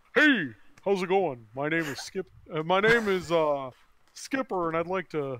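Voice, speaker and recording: This man puts on a character voice. His pitch sits high for a man. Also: moderate pace. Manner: cheesy, salesy.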